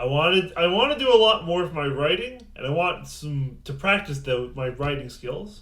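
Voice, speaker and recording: The pace is fairly slow. The intonation is lively. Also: man. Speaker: game reviewer. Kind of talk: casual talk to camera. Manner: mumbly at times.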